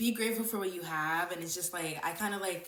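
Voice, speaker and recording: An animated woman talks at a fairly quick pace. Room echo is audible around her voice. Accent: American. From USA. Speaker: self-improvement youtuber. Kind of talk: casual vlog talk. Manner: careful articulation to hide lisp.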